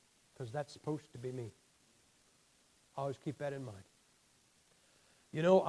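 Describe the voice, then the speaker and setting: A man with a fairly high, somewhat breathy voice talks at a fairly quick pace with ordinary pitch variation, big swings in loudness, and long, frequent pauses. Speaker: motivational speaker. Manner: halting, with many fillers and restarts.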